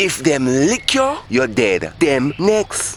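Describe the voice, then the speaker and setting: Someone with a Jamaican accent speaks at a very slow pace. Noticeable background noise sits behind the voice. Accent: Jamaican Patois. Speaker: storyteller. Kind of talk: dramatized storytelling.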